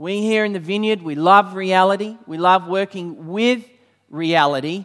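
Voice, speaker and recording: Here a man speaks with an Australian accent at a fairly slow pace. His voice sits high in pitch. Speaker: church leader and preacher. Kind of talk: sermon. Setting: church with congregation.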